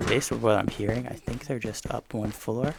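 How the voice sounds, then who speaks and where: A man with a medium-pitched voice talks at a fairly quick pace over noticeable background noise. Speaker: gaming YouTuber. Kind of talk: gameplay commentary. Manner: whispering at times.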